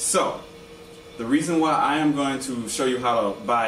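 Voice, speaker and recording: The speech moves at a moderate pace with lively intonation. Audible room echo and light background noise are present. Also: man. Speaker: lightsaber group member giving how-to video; hobbyist reviewer. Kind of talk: tutorial. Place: home room. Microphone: camera far.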